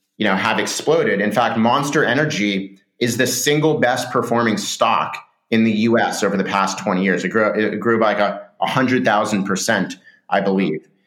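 A man with a Californian accent, a medium pitch and very even loudness. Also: ordinary pitch variation, moderate pace. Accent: Californian American. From Southern California. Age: 30s. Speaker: startup founder and CEO. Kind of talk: interview.

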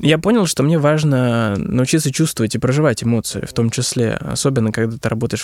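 A man with a medium pitch talks very fast with ordinary pitch variation. The sound is dry and close, with no echo. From Russian regions. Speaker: business consultant on digital transformation. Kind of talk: interview. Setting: studio.

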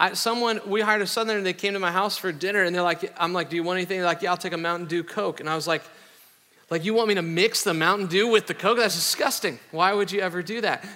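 A man with an American accent talks at a very fast pace in a raised, projected voice, with high pitch and fairly even intonation. Noticeable background noise is present. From US Midwest, Iowa. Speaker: pastor. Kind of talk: sermon. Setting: church.

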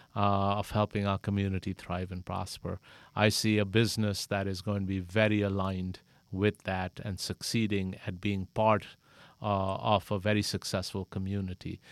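At a moderate pace, a man with a fairly low pitch talks in a monotone, flat intonation, the sound dry and close with no echo. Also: very clean recording, silent background. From Pakistan. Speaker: credit union executive. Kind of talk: interview. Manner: halting, many fillers.

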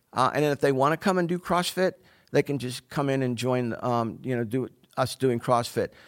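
This is an unremarkable speaking voice with an American accent, ordinary pitch variation and a moderate pace. The recording is very clean, with a silent background. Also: man, medium pitch for a man, dry, close sound with no echo. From Pittsburgh, Pennsylvania. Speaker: fitness coach. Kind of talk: interview conversation.

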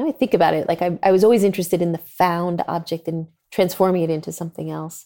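Very fast and fairly low in pitch, a woman's dark, mellow voice shows ordinary pitch variation in a very clean recording with a silent background. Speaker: industrial designer. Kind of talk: interview.

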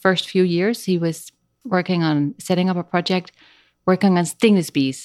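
With a Dutch accent, a woman at medium pitch speaks at a moderate pace with ordinary pitch variation on a very clean recording with a silent background. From Netherlands. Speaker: speech language pathologist and trek guide. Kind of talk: casual interview.

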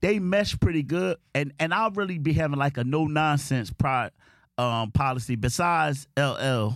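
The recording is very clean, with a silent background. A man talks at a moderate pace with a fairly high pitch, lively intonation and very even loudness. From South Philadelphia. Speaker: podcast guest, former street hustler. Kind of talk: casual chat.

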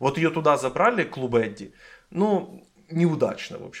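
This is a plain, everyday voice. Its intonation is lively. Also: man. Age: 20s. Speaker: podcast host. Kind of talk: casual chat.

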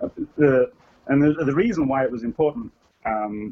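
A man is speaking. His pace is moderate. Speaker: game developer and programmer. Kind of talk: casual interview chat.

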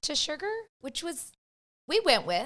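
With an American accent, a woman talks at an unhurried, moderate pace. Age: 40s. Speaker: podcast guest, mother. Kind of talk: casual chat.

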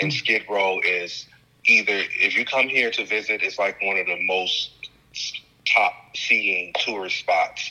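A man with an American accent at a fairly slow pace, over noticeable background noise. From Chicago. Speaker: film director and activist. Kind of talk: interview.

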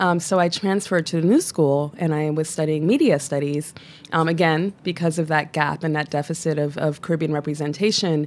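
In an American accent, a woman talks at a fairly quick pace with a very deep, low pitch. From US Northeast, Brooklyn (Flatbush). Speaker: cultural organization founder. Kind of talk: casual chat.

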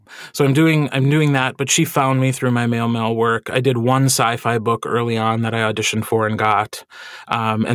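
Here is a man with an unremarkable speaking voice at a medium pitch. His intonation is fairly even and his pace moderate. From Wisconsin, US Midwest. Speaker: audiobook narrator. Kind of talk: interview conversation.

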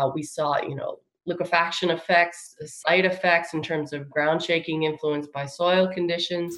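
The speaker has an American accent and a plain, everyday voice. The pace is moderate and the intonation fairly even. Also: woman. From New York, Long Island. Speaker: engineering professor. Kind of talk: interview.

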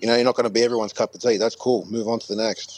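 In an Australian accent, a man speaks at a fairly quick pace. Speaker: guest. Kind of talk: casual chat. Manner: hesitant.

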